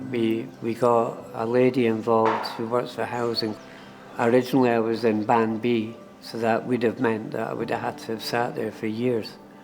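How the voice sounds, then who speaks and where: With music in the background, a man with an Edinburgh accent talks at a moderate pace and medium pitch in monotone, flat intonation. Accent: Scottish (Edinburgh). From Edinburgh, Scotland. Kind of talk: documentary interview answer.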